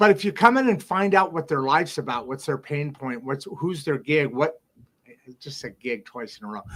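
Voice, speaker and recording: At a moderate pace, a man with a fairly high pitch speaks with lively intonation. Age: 60s. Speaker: podcast host. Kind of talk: casual chat. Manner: animated.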